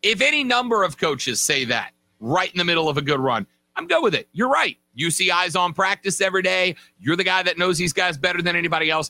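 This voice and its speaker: Over background music, a voice with lively intonation races along at a very fast pace in a dry, close sound with no echo. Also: man, high pitch for a man, very even loudness. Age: 30s. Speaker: sports radio host. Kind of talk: casual sports podcast talk.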